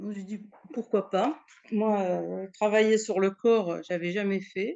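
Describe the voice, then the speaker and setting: The woman talks at a medium pitch, which shifts in an ordinary way. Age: 60s. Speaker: client giving a testimonial. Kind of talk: testimony interview. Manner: halting, with many hesitations and repetitions.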